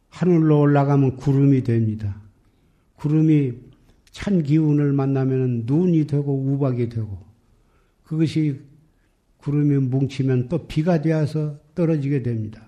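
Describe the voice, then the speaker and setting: A man's fairly high voice with a dark, mellow tone and ordinary pitch variation, very slow with long, frequent pauses and audible room echo. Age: 80s. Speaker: Buddhist monk. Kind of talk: sermon.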